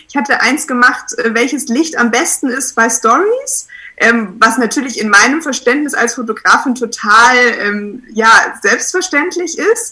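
Over noticeable background noise, a woman with a high pitch projects a raised voice with lively intonation. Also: fairly slow pace. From Munich, Bavaria. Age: 20s. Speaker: photographer. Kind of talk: casual interview.

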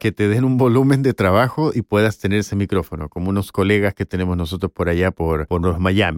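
A man's normal speaking voice, fairly low in pitch with ordinary pitch variation, at a fairly quick pace, in a very clean recording with a silent background and a dry, close sound with no echo. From Chile. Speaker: voice actor and former university professor. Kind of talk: interview.

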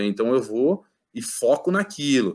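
A man talks with an ordinary speaking voice, medium in pitch and lively in intonation. The recording is very clean, with a silent background. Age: 30s. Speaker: judo athlete. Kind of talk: casual interview.

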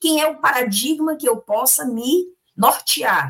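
A woman speaks with a bright, sharp tone. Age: 50s. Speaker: spiritist lecturer. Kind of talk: religious study discussion.

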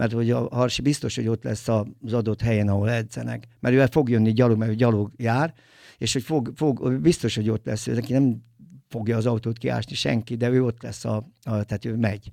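Recorded very cleanly over a silent background, a man talks at a fairly quick pace with medium pitch, a dark, mellow tone and fairly even intonation. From Tolna county, Hungary. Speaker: film producer and DJ. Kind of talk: casual interview. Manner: halting, many fillers.

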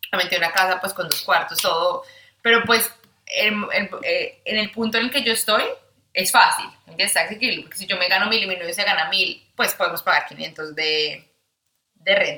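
A woman talks at a moderate pace in an ordinary speaking voice with ordinary pitch variation. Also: medium pitch for a woman. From Colombia, Bogotá. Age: 20s. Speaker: study agency adviser. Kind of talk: casual chat.

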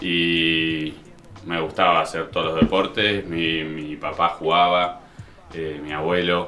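Speaking very slowly in an Argentine accent, a man uses a very deep, low pitch and monotone, flat intonation, with audible room echo and noticeable background noise. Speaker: elite pelota paleta player. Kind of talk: interview.

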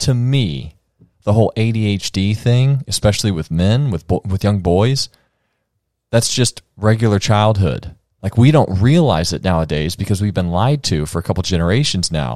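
In a very clean recording with a silent background and a dry, close sound with no echo, a man with an unremarkable speaking voice talks at a fairly low pitch, a moderate pace and lively intonation. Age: 30s. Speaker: podcast host. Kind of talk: casual chat.

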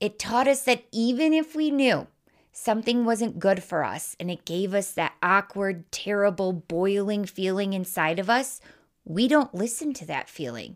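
A woman with a Midwestern US accent speaks at a medium pitch and moderate pace, her tone animated and her intonation lively. The recording is very clean, with a silent background. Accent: Midwestern US, noticeable. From US Wisconsin. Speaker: podcast host and life coach. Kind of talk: solo podcast monologue. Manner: casual.

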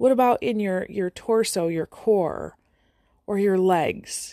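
A woman's unremarkable speaking voice, medium in pitch with ordinary pitch variation. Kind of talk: guided meditation. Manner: soft-spoken, calm and inviting, speaking directly to the listener.

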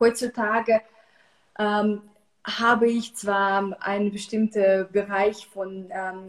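Here a woman speaks with a Russian accent at medium pitch. Her intonation is fairly even. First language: Russian (speaking German). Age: 30s. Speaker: psychological counselor, cancer survivor. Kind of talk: casual online interview.

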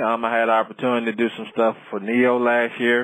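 This man speaks in an American accent, keeping a moderate pace at a medium pitch. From US South, small-town Florida. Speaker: chef. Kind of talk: interview. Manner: halting, many fillers.

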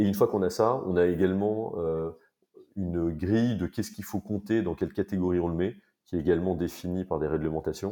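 Against a quiet background, a man with a very deep, low pitch and a dark, mellow tone speaks at a fairly quick pace with fairly even intonation. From France, Paris. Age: 30s. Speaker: company co-founder. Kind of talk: interview. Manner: halting.

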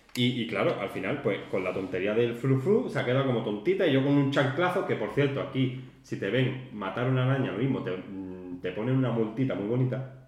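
A man talks at a fairly quick pace with lively intonation. Noticeable background noise and audible room echo fill the recording. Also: medium pitch for a man. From Spain, Málaga. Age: 30s. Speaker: podcast co-host, warehouse worker. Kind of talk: casual chat.

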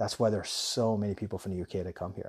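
Speaking very fast with an intense, somewhat breathy tone, a man uses a fairly low pitch. The recording is very clean and dry, close-miked with no echo and a silent background. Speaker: podcast host, relocation business owner. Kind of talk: monologue podcast. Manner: enthusiastic.

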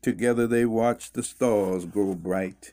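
A man with a plain, everyday voice speaks at a medium pitch and a fairly slow pace. The recording is very clean with a silent background. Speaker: poet reading own poems. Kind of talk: poetry reading aloud in rhyming couplets. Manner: slow, measured, rhythmic, sing-song cadence with pauses at line ends; solemn, earnest, reflective.

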